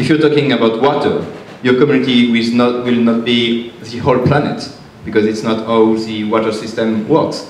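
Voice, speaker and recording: A man with a French accent speaks at a moderate pace with fairly even intonation, with light background noise and audible room echo. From France. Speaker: climate activist; panelist. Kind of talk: panel discussion. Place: hall.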